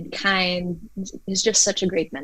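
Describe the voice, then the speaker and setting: Noticeable background noise behind a woman speaking at a medium pitch, her intonation fairly even. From Philippines. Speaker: singer. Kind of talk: interview.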